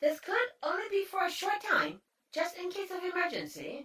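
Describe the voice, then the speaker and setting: In a put-on character voice, the speaker talks at a moderate pace with an extremely high pitch. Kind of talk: audio drama. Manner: polite, formal.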